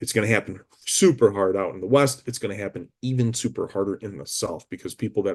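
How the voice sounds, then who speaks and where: In a normal speaking voice, a man with an American accent talks at a fairly low pitch with ordinary pitch variation against a quiet background. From US Midwest, Chicago. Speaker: real estate broker. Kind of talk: market update monologue. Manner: casual, with many fillers.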